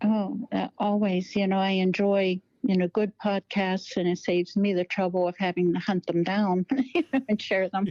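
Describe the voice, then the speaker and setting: In a dark, mellow tone at medium pitch, a woman speaks at a moderate pace in a flat monotone. Her loudness is very even, and the sound is dry and close with no echo. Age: 60s. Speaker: bigfoot researcher, group leader. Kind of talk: interview.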